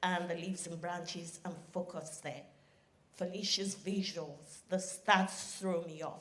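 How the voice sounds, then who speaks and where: With audible room echo, a woman at medium pitch speaks at a fairly slow pace in a somewhat breathy voice. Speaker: audience member asking a question. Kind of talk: audience question at a live event. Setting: conference hall with live audience. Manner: shaky, nervous.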